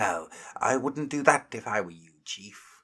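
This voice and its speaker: A man's whiny, put-on character voice at medium pitch and a fairly slow pace. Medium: read story. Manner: whining, obsequious.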